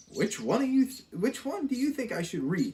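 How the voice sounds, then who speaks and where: At a moderate pace, a put-on character voice speaks at a fairly high pitch. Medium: read story.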